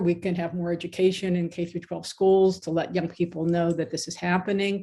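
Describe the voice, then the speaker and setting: A woman talks in an ordinary speaking voice. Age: 60s. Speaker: law professor and author. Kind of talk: interview. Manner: conversational, with frequent false starts.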